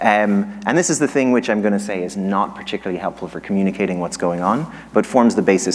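A man with a fairly low pitch and an Irish accent. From Ireland. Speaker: economics professor. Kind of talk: lecture. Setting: stage with audience. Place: hall. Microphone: handheld.

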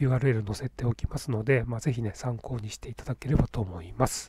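A man speaks at a fairly quick pace in a somewhat breathy voice. The sound is dry and close, with no echo. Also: very clean recording, silent background. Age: 50s. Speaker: YouTuber. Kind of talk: tutorial. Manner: casual, filler-heavy.

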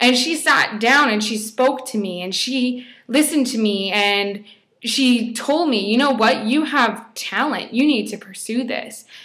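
A woman speaks at a fairly slow pace in a high voice with a bright, sharp tone. The background is quiet. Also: ordinary pitch variation. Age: 20s. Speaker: fashion blogger; blogger sharing a personal story. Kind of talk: personal testimony vlog. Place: home room. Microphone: webcam.

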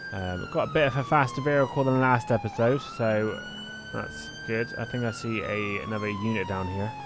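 Lively intonation from a man, with clear background noise. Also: medium pitch for a man, moderate pace. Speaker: gaming YouTuber. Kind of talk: gameplay commentary. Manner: casual, filler words.

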